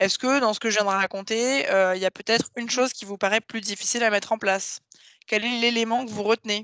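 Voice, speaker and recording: The voice has fairly even intonation, with a dry, close sound, no echo and a quiet background. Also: woman. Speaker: webinar trainer. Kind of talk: online training presentation. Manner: fast.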